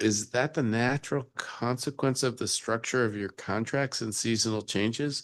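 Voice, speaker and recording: A soft-spoken man talks at a moderate pace. His pitch is medium, with ordinary pitch variation. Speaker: council member chairing hearing. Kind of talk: government oversight hearing. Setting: council hearing room, also on Zoom.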